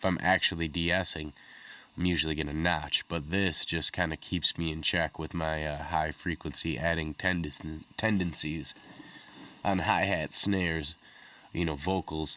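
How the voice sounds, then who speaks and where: A man speaks at a moderate pace in a very deep, low pitch. His tone is bright and sharp, his intonation flat and monotone. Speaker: music producer reviewing audio plugins. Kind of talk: tutorial. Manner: casual with frequent fillers.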